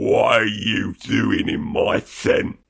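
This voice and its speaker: A man puts on a raspy character voice. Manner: menacing.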